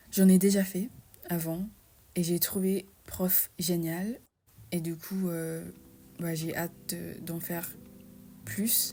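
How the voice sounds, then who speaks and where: A woman at a fairly low pitch, very slow and monotone, with long, frequent pauses. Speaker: language learner vlogger. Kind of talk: unscripted casual vlog talk. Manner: hesitant, many fillers.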